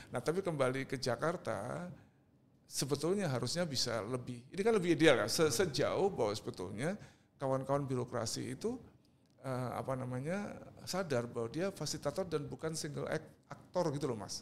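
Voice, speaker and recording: A man talks at a fairly quick pace in an ordinary speaking voice, his fairly high pitch moving with lively intonation. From Indonesia, East Java (Surabaya). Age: 60s. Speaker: artist and cultural figure. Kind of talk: podcast interview.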